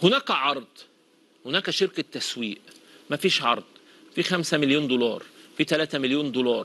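A man with a fairly high pitch and ordinary pitch variation speaks at a moderate pace in an animated, bright, sharp tone, leaving long, frequent pauses. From Egypt. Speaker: football pundit; TV presenter. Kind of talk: casual commentary monologue; TV commentary monologue. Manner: animated, repetitive emphasis. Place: studio.

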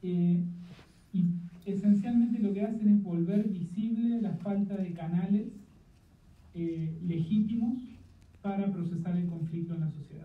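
A man's high-pitched voice at a fairly slow pace, with long, frequent pauses. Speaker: political science professor. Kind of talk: panel discussion. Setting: video call.

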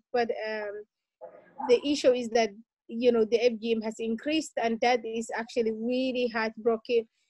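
Against a quiet background, a woman with fairly high pitch talks at a fairly slow pace in a monotone, flat intonation, the sound dry with no echo. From Somalia, later Dublin, Ireland. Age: young. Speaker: activist, subject of the film. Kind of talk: interview. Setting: video call. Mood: earnest, emotional. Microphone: video call.

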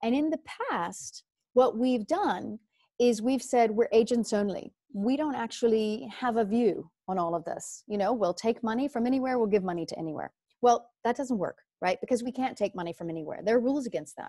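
At a fairly quick pace, a woman with an American accent uses lively intonation and a fairly high pitch with a dark, mellow tone, recorded with a dry sound that has no echo against a quiet background. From US South, rural Louisiana. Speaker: finance executive and board member; guest. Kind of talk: motivational talk. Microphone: video call.

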